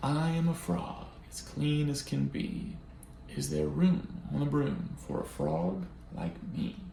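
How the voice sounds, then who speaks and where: Using a put-on character voice, a man speaks at a fairly slow pace with a slight echo. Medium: read story.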